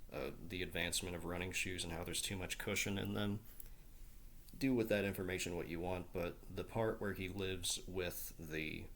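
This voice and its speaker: Audible room echo surrounds a man with an Appalachian accent and a very deep, low pitch. He keeps a moderate pace and fairly even intonation. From southeastern Ohio, Appalachia (Portsmouth). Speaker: book YouTuber. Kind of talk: casual book talk video. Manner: hesitant, many fillers and repeats.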